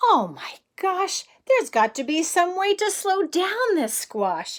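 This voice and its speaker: In a put-on character voice, a woman speaks fairly slowly at an extremely high pitch, with very wide pitch swings. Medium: read story. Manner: worried, exclaiming.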